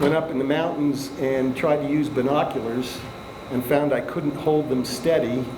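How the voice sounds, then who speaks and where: The speech has a flat, monotone intonation and audible room echo. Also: man, fairly high pitch for a man, moderate pace, very even loudness. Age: 70s. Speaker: inventor. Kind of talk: casual talk at a seminar. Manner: halting, with fillers.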